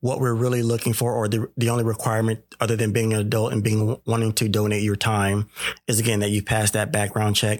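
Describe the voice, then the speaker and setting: A man with an American accent talks at a fairly quick pace in a monotone, flat intonation, his pitch fairly low and his loudness very even. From Sacramento, California. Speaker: nonprofit mentoring organization representative. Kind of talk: casual interview.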